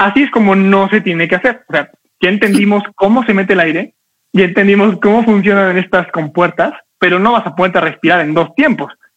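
In an animated tone, a man talks at a high pitch with ordinary pitch variation. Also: fairly quick pace. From Mexico. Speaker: public speaking coach. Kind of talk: online class. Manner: fast.

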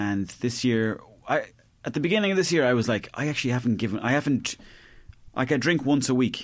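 A man with an Irish accent talks at a fairly quick pace with lively intonation, recorded very cleanly against a silent background. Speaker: comedian. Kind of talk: casual chat.

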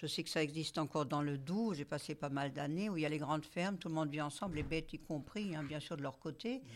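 A woman with a very deep, low voice talks very fast with hardly any pauses and ordinary pitch variation. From Moselle, eastern France. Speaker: club discussion moderator. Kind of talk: group discussion. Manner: hesitant.

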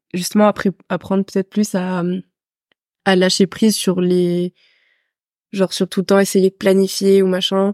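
A woman talks at a fairly slow pace with long, frequent pauses. Her medium-pitched voice holds a very even loudness. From France (raised abroad: Senegal, Peru, then France from age 11). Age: 20s. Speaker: physiotherapy student. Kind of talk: casual chat. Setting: in person with host.

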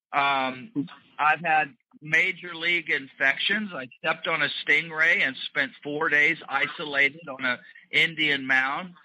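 A bright, sharp tone with an American accent, a fairly slow pace and fairly even intonation. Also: man, fairly high pitch for a man. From US South. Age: 50s. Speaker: skunk ape researcher. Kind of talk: interview.

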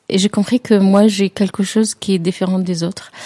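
The voice has an Arabic accent and a dark, mellow tone, delivered in a monotone, flat intonation. The sound is dry and close, with no echo. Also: woman. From Jordan. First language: Arabic (speaking French). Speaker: tea salon owner, former tour guide. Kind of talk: interview. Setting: drinking tea together. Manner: halting, many hesitations.

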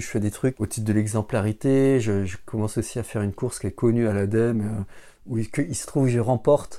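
On a very clean recording with a silent background, a man speaks at medium pitch and a fairly quick pace, with fairly even intonation and a dark, mellow tone. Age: 40s. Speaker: civil servant. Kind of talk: testimony. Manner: halting.

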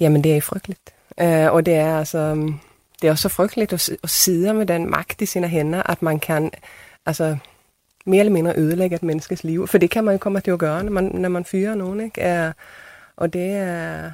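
Speaking in a Swedish accent, a woman uses a fairly low, dark, mellow voice at a moderate pace with fairly even intonation, in a very clean recording with a silent background. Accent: Swedish-accented Danish. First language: Swedish (speaking Danish). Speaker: theatre director. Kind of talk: panel discussion.

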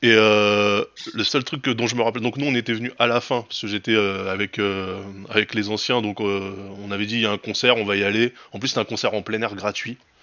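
Monotone, flat intonation carries this fairly quick delivery. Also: man, fairly low pitch for a man. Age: 40s. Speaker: podcast host. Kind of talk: casual chat. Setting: livestream with chat.

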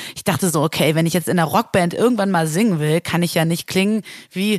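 At a fairly quick pace, a woman talks with fairly even intonation and a fairly low pitch. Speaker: music booker and singer. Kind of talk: interview.

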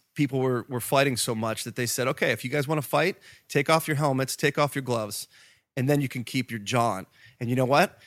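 A plain, everyday voice from a medium-pitched man with an American accent, fairly quick pace and ordinary pitch variation, in a very clean, dry, close recording with no echo and a silent background. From US, Pittsburgh. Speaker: rock band musician. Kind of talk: casual interview chat.

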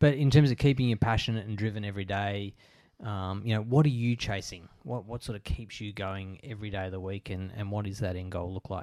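A man speaks in a fairly low pitch with ordinary pitch variation. His loudness swings widely. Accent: Australian. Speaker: podcast host. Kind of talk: interview; scripted narration.

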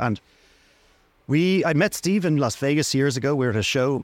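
A man with a Dublin accent, ordinary pitch variation and a fairly quick pace. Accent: Dublin Irish. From Ireland, Dublin. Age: 50s. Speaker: sales director of a family instrument business. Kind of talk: interview. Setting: trade show stand with background noise.

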